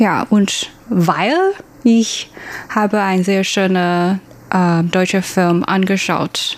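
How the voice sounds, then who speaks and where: A woman's medium-pitched voice in a Chinese accent, very slow pace, long, frequent pauses and very even loudness. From Taiwan. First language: Mandarin (speaking German). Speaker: former working holiday traveller. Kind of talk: interview. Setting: studio. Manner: halting, many fillers.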